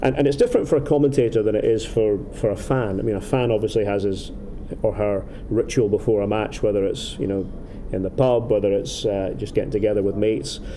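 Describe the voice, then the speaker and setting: A man with an Aberdeen accent and a fairly low voice talks very fast over noticeable background noise, with audible room echo. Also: ordinary pitch variation. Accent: Scottish, Aberdeen. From Scotland, Aberdeen. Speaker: football commentator. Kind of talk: casual interview. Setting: outdoors in a city. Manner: halting, many repetitions.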